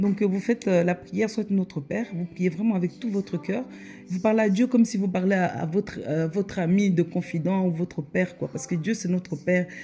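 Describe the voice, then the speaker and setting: A woman with a Congolese accent at a fairly quick pace, music in the background. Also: medium pitch for a woman, ordinary pitch variation. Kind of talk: religious exhortation to camera. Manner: hesitant with many fillers.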